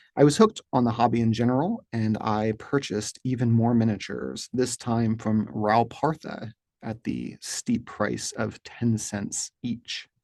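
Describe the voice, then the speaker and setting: In an Appalachian accent, a man speaks at a fairly slow pace with hardly any pauses. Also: medium pitch for a man, dry, close sound with no echo. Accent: Appalachian regional pronunciation. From US, rural Appalachia. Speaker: wargaming hobby channel host. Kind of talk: scripted monologue to camera. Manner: formal.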